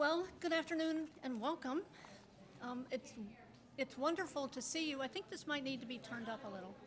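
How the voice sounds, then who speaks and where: A woman speaks at a high pitch and a fairly quick pace, with ordinary pitch variation. Background noise is noticeable. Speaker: retired library director. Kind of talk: ceremonial speech. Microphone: too quiet at first, turned up.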